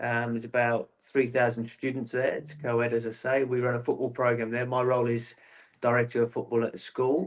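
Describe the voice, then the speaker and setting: A man talks at a fairly quick pace and a medium pitch, with a slight Australian accent. His intonation stays monotone and flat. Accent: English with a slight Australian lilt. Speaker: football coach, former player. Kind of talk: interview.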